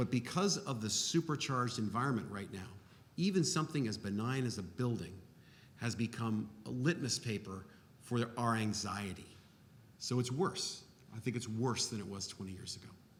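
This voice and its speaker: A man speaks at a moderate pace with lively intonation and a somewhat breathy voice. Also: medium pitch for a man. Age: 60s. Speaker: architect. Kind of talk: panel discussion.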